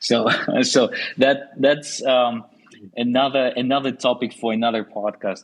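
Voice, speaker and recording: A man speaks with a Russian accent at a medium pitch. His delivery is fairly slow, with monotone, flat intonation. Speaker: podcast host. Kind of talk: podcast interview.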